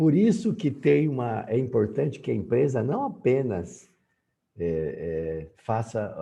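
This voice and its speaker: Against a quiet background, a man speaks in a dark, mellow, somewhat breathy voice. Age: 60s. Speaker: university professor. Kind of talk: lecture. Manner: halting, many fillers.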